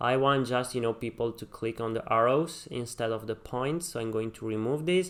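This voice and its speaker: A man with a normal speaking voice at medium pitch, hardly any pauses. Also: ordinary pitch variation, moderate pace. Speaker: web design tutorial creator. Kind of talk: tutorial. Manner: many fillers (um, uh, you know).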